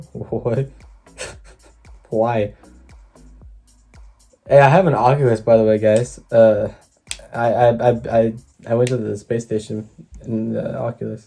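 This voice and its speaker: Music plays behind a man who speaks at a fairly slow pace with a medium pitch, fairly even intonation, and long, frequent pauses. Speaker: YouTube reactor. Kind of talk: casual reaction commentary.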